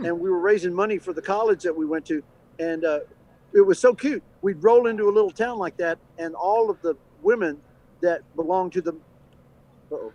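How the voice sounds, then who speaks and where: A man with an American accent speaks at a fairly quick pace in a high, dark, mellow voice, leaving long, frequent pauses. The sound is dry and close with no echo. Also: ordinary pitch variation. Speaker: actor and voice actor. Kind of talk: interview answer.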